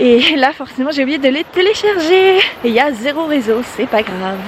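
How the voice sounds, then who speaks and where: A woman speaks at a high pitch with noticeable background noise. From Brittany, France. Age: 20s. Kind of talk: casual vlog narration while hiking. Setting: outdoors.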